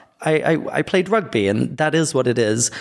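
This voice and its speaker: A man with a British accent speaks at a moderate pace, his pitch swinging very widely. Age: adult. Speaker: podcast host. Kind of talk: casual chat.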